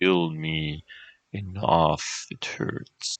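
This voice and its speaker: A man puts on a croaky character voice. His pitch is very deep and low. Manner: pained, pleading, through clenched teeth.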